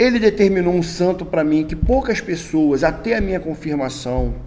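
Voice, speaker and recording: There is noticeable background noise and audible room echo. A man is speaking. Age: 60s. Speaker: Candomblé religious elder. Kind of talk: interview. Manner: halting.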